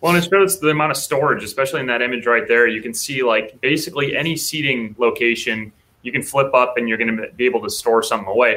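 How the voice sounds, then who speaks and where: A man with an American accent, medium pitch, ordinary pitch variation, and a bright, sharp tone at a very fast pace with hardly any pauses. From Minnesota (Apple Valley). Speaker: podcast co-host. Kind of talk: casual video interview.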